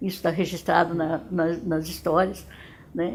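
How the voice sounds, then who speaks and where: This is a woman's voice. It carries vocal fry. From Dourados, Mato Grosso do Sul, Brazil. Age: 70s. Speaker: retired educator. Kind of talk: testimony. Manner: halting, with frequent repetitions.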